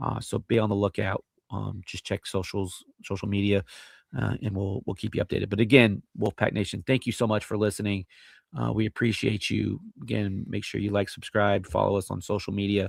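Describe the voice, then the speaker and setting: In a very clean recording with a silent background and a dry, close sound with no echo, a man with a fairly low pitch and vocal fry talks at a fairly quick pace with fairly even intonation. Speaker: sports podcast host. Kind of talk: casual chat. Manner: halting, many fillers and repeats.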